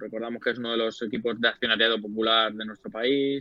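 A man with an ordinary speaking voice, fairly even intonation and a fairly quick pace. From Spain, Leganés (Madrid). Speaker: sports journalist. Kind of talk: casual chat.

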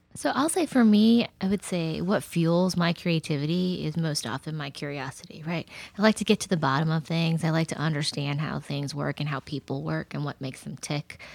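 A woman with an American accent and a very deep, low pitch, fairly quick pace, hardly any pauses, on a very clean recording with a silent background. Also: ordinary pitch variation, dry, close sound with no echo. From Texas. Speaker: nonprofit executive director and former political campaign worker. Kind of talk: casual chat.

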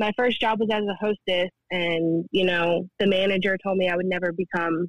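A woman's medium-pitched voice with an American accent, fairly quick and flat in a monotone. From New Jersey. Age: 20s. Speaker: former server. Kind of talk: casual chat.

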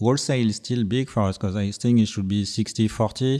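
A man's medium-pitched, dark and mellow voice with a French accent, against a quiet background. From Brittany, France. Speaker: record label co-founder. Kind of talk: casual interview chat. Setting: studio. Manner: halting, hesitant.

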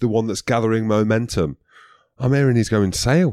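With a Scottish accent, a man talks at a fairly quick pace in a fairly low pitch with ordinary pitch variation, his sound dry and close with no echo on a very clean recording over a silent background. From Scotland. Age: 30s. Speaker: former rugby player, podcast co-host. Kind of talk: casual chat. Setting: studio.

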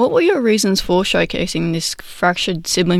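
Moderate pacing from a woman with an Australian accent. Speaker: radio producer, interviewer. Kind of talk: interview.

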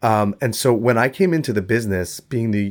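A man talks with ordinary pitch variation. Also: very clean recording, silent background. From New York City. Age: 30s. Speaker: insurance agent. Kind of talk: interview. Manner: direct.

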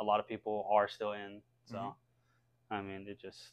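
This man has an American accent and a fairly low pitch. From US South (North Carolina). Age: 20s. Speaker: video game streamer. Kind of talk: casual chat.

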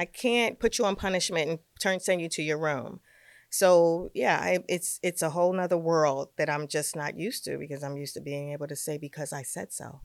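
A fairly low-pitched woman with a New York accent, ordinary pitch variation and big swings in loudness. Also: fairly quick pace. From New York, Brooklyn. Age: 50s. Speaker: fashion stylist. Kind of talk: casual chat. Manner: animated.

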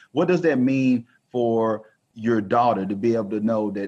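Against a quiet background, a man with a Texan accent talks at a fairly slow pace in a medium pitch. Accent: Texan Southern US. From rural northeast Texas. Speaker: self-publishing company founder. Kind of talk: podcast interview.

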